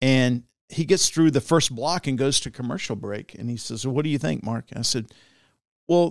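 A man with an American accent talks at a fairly quick pace with lively intonation, in an unremarkable speaking voice. The recording is very clean, with a silent background and a dry, close sound with no echo. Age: 50s. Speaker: politician and former TV news anchor. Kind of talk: casual interview. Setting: studio.

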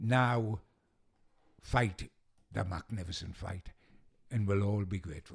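A man with a Geordie accent talks at a fairly slow pace, with a fairly low, somewhat breathy voice. His pitch varies in an ordinary way, and he leaves long, frequent pauses. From Newcastle, northeast England. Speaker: football journalist. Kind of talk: casual interview chat. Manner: animated.

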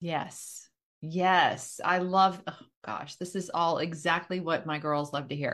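A woman's fairly low voice at a very slow pace, in a very clean recording with a silent background. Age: 50s. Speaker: podcast host and real estate agent. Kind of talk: casual interview chat.

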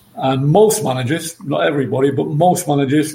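This man's pitch is fairly high and varies in an ordinary way. He talks at a moderate speed. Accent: English. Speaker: former football manager. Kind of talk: podcast interview.

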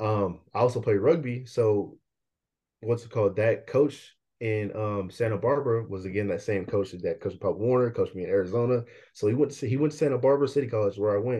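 A man with an American accent, somewhat breathy, at a medium pitch with ordinary pitch variation and a fairly quick pace. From Bay Area, Northern California. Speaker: college football player. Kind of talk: interview.

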